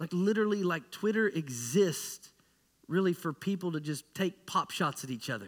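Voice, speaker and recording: A man speaks loudly at a high pitch with lively intonation. His pace is moderate. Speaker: pastor. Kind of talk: sermon. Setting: church. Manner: animated.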